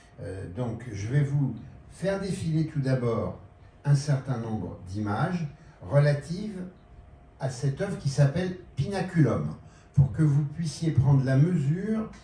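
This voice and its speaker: With lively intonation, a man speaks at a fairly slow pace and a fairly high pitch. The room has an audible echo. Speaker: exhibition curator and art critic. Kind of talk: public talk. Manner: hesitant, many fillers.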